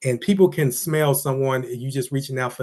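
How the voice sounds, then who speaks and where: A man with a medium pitch talks at a fairly quick pace with fairly even intonation against a quiet background. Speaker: business vlogger. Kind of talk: motivational monologue. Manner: fast.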